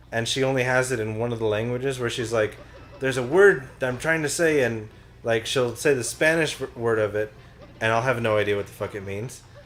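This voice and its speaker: A man with an American accent speaks at a medium pitch and a fairly quick pace, with ordinary pitch variation over noticeable background noise. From New Mexico, US. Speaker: gaming commentator. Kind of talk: casual chat.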